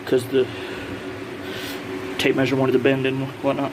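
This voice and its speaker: A man speaks at a medium pitch and a fairly quick pace, with music in the background. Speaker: hobbyist builder. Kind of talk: workshop vlog. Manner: fast; casual, hesitant.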